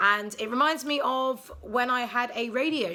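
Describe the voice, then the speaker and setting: With a British accent, a woman is speaking. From England, London. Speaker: vlogger. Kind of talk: casual vlog monologue. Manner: hesitant, many ums; sarcastic, deadpan.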